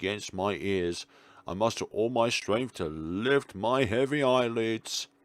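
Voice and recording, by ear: The text is read aloud in a natural voice.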